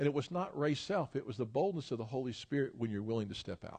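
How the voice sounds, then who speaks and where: With a Tennessee accent, a man talks at a very fast pace using lively intonation. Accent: Southern US (Tennessee). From US South, Memphis, Tennessee. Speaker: pastor and educator. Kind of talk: sermon. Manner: animated.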